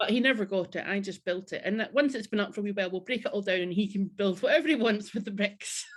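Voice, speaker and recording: Somewhat breathy, a woman of medium pitch talks very fast with hardly any pauses and ordinary pitch variation. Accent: Scottish. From Scotland, Central Belt near Glasgow. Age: 30s. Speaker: podcast guest, charity worker. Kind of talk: casual interview chat. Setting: home craft room, remote call.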